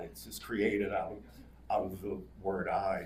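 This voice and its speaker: A man speaks with vocal fry at a fairly slow pace. Audible room echo surrounds his voice. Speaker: poet. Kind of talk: casual remarks to audience; poetry reading. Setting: live reading with audience. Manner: loud.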